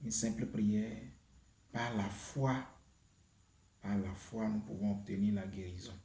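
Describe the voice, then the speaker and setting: In a room with audible echo, a man with a dark, mellow, somewhat breathy voice and fairly low pitch speaks at a very slow pace, leaving long, frequent pauses. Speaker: YouTube prayer channel host. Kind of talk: spiritual teaching and prayer. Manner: hesitant, with many fillers.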